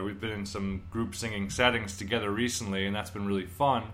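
A man speaks in an upbeat, bright, sharp tone. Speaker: podcast host. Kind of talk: casual interview chat. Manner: upbeat, friendly.

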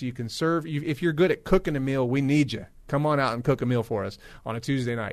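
Against a quiet background, a plain, everyday voice moves at a fairly quick pace with ordinary pitch variation. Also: man. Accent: American. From US West Coast, Los Angeles. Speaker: pastor running a community ministry. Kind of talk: radio interview. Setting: studio.

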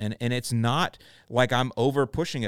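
A man with an American accent speaks in an animated tone. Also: very clean recording, silent background. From Florida, St. Petersburg. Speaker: lawn care podcaster. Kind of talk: casual solo podcast monologue.

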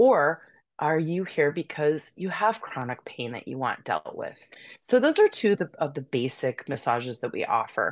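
Over a quiet background, a woman with an American accent speaks at a moderate pace in a calm tone, her very deep, low pitch making very wide swings and her loudness rising and falling in big swings. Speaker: massage therapist and yoga instructor. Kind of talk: casual interview chat. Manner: calm, peaceful.

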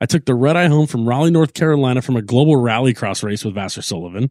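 The man has a medium pitch, ordinary pitch variation and an American accent, with an animated tone. The recording is very clean with a silent background, and the sound is dry and close with no echo. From Southern California, Long Beach. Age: 30s. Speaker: IndyCar race strategist. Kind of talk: casual chat.

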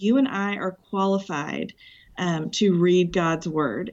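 Here is a woman with a plain, everyday voice. It sits at medium pitch with ordinary pitch variation. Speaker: ministry leader. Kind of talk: casual interview.

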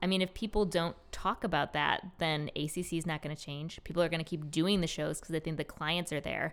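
Speaking in a normal speaking voice with an American accent, a woman uses a fairly low pitch and fairly even intonation at a fairly quick pace on a very clean recording with a silent background. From Rochester, New York. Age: 30s. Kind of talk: casual interview. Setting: in person, drinking beer.

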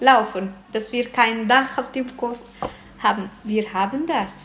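A woman's fairly high, fairly evenly intoned voice at a very slow pace, over noticeable background noise. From Eritrea. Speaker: interviewee, parent. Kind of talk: interview testimony.

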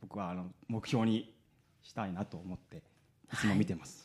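On a very clean recording with a silent background, a man with a plain, everyday voice and a fairly low pitch speaks at a moderate pace. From Kumamoto, Japan. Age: 30s. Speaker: stage actor. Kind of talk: radio interview.

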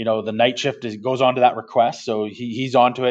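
A man's medium-pitched speech moves along at a fairly quick pace. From Canada, Alberta. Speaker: tech company co-founder. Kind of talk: podcast interview.

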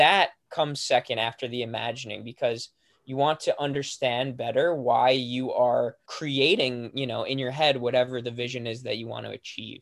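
A man's normal speaking voice at medium pitch, fairly even intonation and a moderate pace, with big swings in loudness. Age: young. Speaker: author and speaker. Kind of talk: interview.

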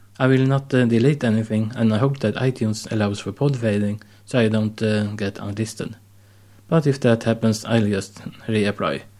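On a very clean recording with a silent background, a man with a Swedish accent speaks at medium pitch and a moderate pace, his tone dark and mellow and his intonation fairly even. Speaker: podcast host. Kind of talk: solo monologue.

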